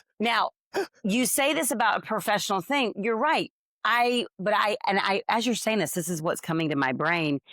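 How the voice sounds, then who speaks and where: Recorded very cleanly against a silent background, a woman's voice moves in very wide pitch swings while holding very even loudness. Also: moderate pace, dry, close sound with no echo. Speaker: podcast co-host. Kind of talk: casual chat.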